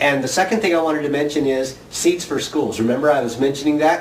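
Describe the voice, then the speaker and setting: A man speaks in a fairly high voice. Noticeable background noise runs behind him. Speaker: video blogger running a seed exchange. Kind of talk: casual chat to camera, vlog. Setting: home video recording to camera. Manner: chatty, animated, jokey.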